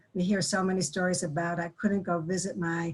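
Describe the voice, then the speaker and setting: A woman's fairly low, somewhat breathy voice at a fairly quick pace, with fairly even intonation. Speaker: grief and trauma educator. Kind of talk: webinar presentation. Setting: online webinar. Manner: fast.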